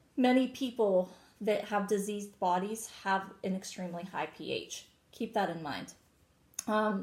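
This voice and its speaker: A woman's somewhat breathy, medium-pitched voice at a fairly slow pace, with ordinary pitch variation. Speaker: co-host selling wellness products. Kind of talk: casual product chat.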